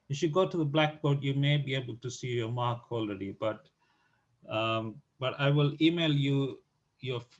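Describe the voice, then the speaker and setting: A man's somewhat breathy, medium-pitched voice at a fairly slow pace with fairly even intonation. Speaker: statistics tutor. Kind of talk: tutorial announcements. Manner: halting.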